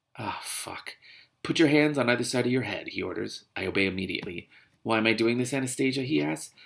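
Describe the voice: Someone reads aloud plainly while the background stays quiet.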